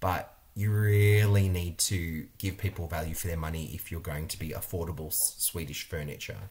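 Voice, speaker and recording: A man speaks with an Australian accent at a very deep, low pitch. His voice is somewhat breathy, with ordinary pitch variation at a moderate pace. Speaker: interior designer and video creator. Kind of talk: vlog monologue review. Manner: animated. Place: home room. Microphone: webcam.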